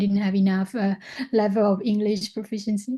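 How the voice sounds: A woman with a Thai accent speaks at a medium pitch in a dark, mellow tone.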